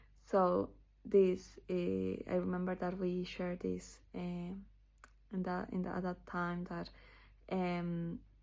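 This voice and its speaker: A woman speaks with a Spanish accent at a very slow pace, with long, frequent pauses. The recording is very clean, with a silent background. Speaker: channel owner sharing scripture memorization. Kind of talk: casual personal video talk. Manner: halting, many fillers.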